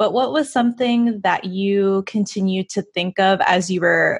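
Over a quiet background, a woman speaks at a fairly slow pace in a somewhat breathy voice, with a dry sound and no echo. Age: 20s. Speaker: podcast co-host. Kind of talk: casual interview. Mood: warm, enthusiastic. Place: home room. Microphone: studio mic.

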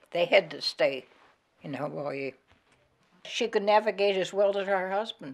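With an American accent, a woman speaks at a moderate pace in a medium pitch, her intonation lively. Music plays in the background. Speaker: retired nurse. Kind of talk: oral history interview answer.

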